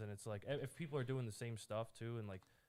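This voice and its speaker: Fairly quick speech from a man, medium in pitch and with ordinary variation in it. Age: 20s. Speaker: podcast host guest, aspiring comedian. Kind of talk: casual chat. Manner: halting, many fillers.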